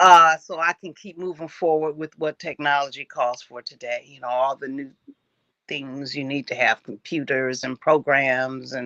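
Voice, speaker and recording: Very deep and low in pitch, a woman's voice has a bright, sharp tone, fairly even intonation and a moderate pace. Her loudness swings widely, and the sound is dry and close with no echo. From Cleveland. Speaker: jazz vocalist. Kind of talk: interview answer.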